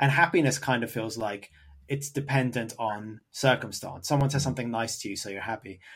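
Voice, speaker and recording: A plain, everyday voice: a man at medium pitch with ordinary pitch variation and a fairly quick pace. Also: very clean recording, silent background. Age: 30s. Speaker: podcast host. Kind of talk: casual chat; scripted narration.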